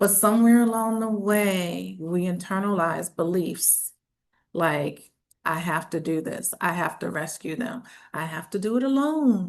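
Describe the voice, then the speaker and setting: A woman with a medium pitch speaks at a fairly slow pace with lively intonation, and audible room echo is present. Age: 60s. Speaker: tax strategist. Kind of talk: conference talk.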